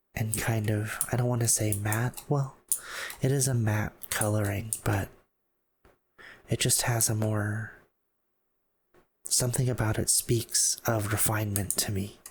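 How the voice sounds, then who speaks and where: Somewhat breathy and monotone, a man at medium pitch keeps his loudness very even and leaves long, frequent pauses. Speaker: ASMR gameplay commentator. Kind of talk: casual talk to camera, map exploration commentary. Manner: slow, relaxed, gently humorous.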